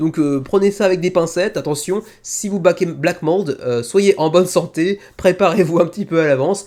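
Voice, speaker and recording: Ordinary pitch variation runs through a man's high-pitched speech. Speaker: board game video host. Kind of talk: solo video review show. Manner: fast; stumbling over words.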